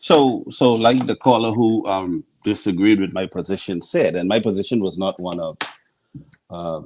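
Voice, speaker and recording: A man talks in a Bahamian accent. His pitch is fairly low, with ordinary variation. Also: moderate pace. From Bahamas, Nassau. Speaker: scientist. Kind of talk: radio interview.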